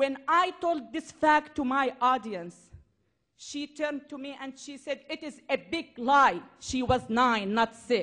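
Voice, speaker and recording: A high-pitched woman's voice in a Syrian accent, bright and sharp in tone, with big swings in loudness and ordinary pitch variation. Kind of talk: public speech.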